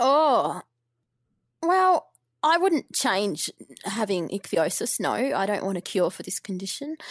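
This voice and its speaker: A woman speaks at a fairly slow pace with long, frequent pauses, her fairly high voice swinging very widely in pitch, in a dry, close sound with no echo on a very clean recording against a silent background. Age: 30s. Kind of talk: interview. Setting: podcast.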